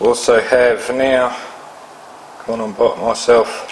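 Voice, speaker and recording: A man talks at a medium pitch, and noticeable noise can be heard behind him. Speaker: electronics hobbyist. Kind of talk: tutorial. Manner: hesitant, many fillers.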